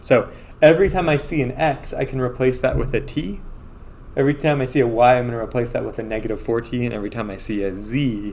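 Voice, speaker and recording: A man with a medium-pitched voice talks at a very fast pace with ordinary pitch variation, set against noticeable background noise and audible room echo. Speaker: math professor. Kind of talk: lecture.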